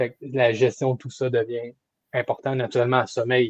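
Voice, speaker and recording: A man's somewhat breathy voice at medium pitch, monotone and flat, at a moderate pace in a dry, close sound with no echo. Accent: Quebec. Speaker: kinesiologist coach. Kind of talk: coaching consultation. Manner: halting, with repetitions.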